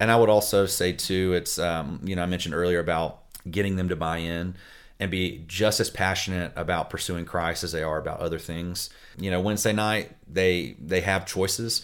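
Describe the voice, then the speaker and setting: The intonation holds fairly even. A man's voice sits very deep and low. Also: moderate pace. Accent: Southern US. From US South, Florida Panhandle. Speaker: family pastor. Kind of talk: interview.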